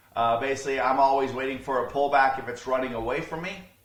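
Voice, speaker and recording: In a room with audible echo and noticeable background noise, a man of medium pitch speaks in a monotone, flat way. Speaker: day trading educator. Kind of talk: tutorial. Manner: fast; casual.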